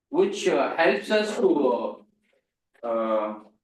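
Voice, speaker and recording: A very slow pace with a non-native accent. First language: not English. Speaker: seminar lecturer. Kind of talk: lecture.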